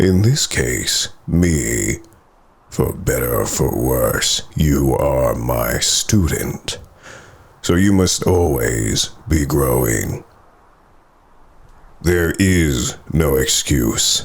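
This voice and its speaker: A put-on character voice with lively intonation and very even loudness, very slow and broken by long, frequent pauses. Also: man, very deep, low pitch for a man. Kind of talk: ASMR roleplay. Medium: solo performance. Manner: commanding, condescending.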